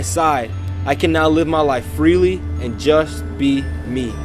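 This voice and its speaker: Music plays in the background as a man speaks at a very slow pace. His pitch swings very widely. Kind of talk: spoken word poem, personal testimony.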